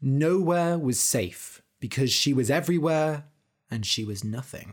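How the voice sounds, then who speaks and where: A man with a British accent speaks at a fairly slow pace with lively intonation. The recording is very clean, with a silent background. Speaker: English learning podcast host and storyteller. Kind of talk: scripted story narration for language learners. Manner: slow and clear; expressive voice acting.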